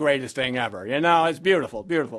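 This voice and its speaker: The recording is very clean and the background silent. A man talks with lively intonation. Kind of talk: spoken word performance. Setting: live venue. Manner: casual storytelling.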